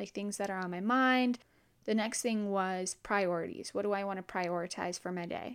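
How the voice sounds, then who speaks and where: On a very clean recording with a silent background, a woman has a normal speaking voice, a medium pitch and a moderate pace. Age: 20s. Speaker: podcast host. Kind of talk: solo self-help podcast monologue.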